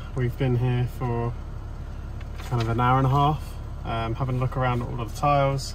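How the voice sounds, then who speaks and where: Light background noise sits under a man's voice, which sounds dry with no echo. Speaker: renovation vlogger. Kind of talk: casual vlog chat. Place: car. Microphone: phone near.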